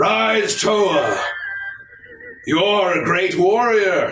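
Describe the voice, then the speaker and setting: Over music in the background and with audible echo, a man does a put-on character voice at a high pitch and a very slow pace. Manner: commanding, declaring.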